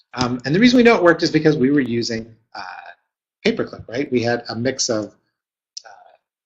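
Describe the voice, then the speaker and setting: The man talks at a fairly quick pace with ordinary pitch variation. His loudness swings widely, and he takes long, frequent pauses. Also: medium pitch for a man. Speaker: webinar presenter, marketing consultant. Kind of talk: webinar presentation. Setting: live webinar. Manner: fast; many fillers and hesitations.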